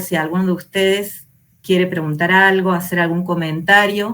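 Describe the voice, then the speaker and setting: Her pitch is medium and her pace moderate. This woman has a normal speaking voice with fairly even intonation. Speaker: teacher trainer. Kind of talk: online lecture.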